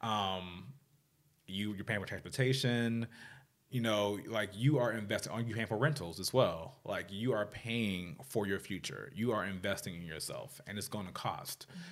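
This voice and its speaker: A man's normal speaking voice with a fairly low pitch, an American accent, a moderate pace and ordinary pitch variation. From Washington DC area, US. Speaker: fashion stylist. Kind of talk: interview.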